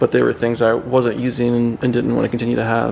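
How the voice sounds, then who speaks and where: A man speaks very fast over noticeable background noise. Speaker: powerlifter. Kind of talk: casual gym tour talk to camera. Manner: monotone; hesitant, many filler ums.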